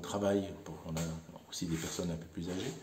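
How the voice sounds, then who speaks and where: There is audible room echo around a man whose voice has a dark, mellow tone. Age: 60s. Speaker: volunteer bike mechanic. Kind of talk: interview monologue. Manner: hesitant, many fillers.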